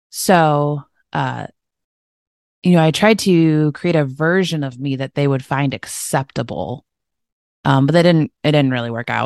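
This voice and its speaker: With a Midwestern American accent, the speaker goes at a fairly slow pace with long, frequent pauses and ordinary pitch variation, in a dry, close sound with no echo over a quiet background. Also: woman, very deep, low pitch for a woman. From Michigan, US. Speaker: health and wellness coach. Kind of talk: interview.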